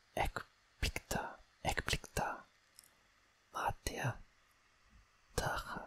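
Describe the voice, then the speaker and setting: Whispering in a calm tone, the speaker moves at a very slow pace with long, frequent pauses. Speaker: language learner, non-native Greek student. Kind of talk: ASMR language-study reading, whispered musings. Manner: whispered, soft-spoken, calm.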